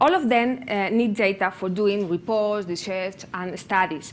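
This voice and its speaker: Speaking with a Spanish accent, a woman talks at a medium pitch. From Spain, near Barcelona (Catalonia). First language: Spanish or Catalan. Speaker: public sector open data practitioner, conference speaker. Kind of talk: conference presentation. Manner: halting, non-native phrasing with hesitations.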